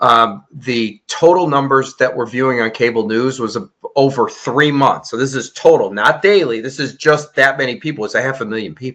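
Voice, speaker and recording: The speaker has an American accent and an unremarkable speaking voice, with ordinary pitch variation. The pace is moderate, with hardly any pauses. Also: man, medium pitch for a man. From Chicago, US Midwest. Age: 60s. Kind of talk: interview.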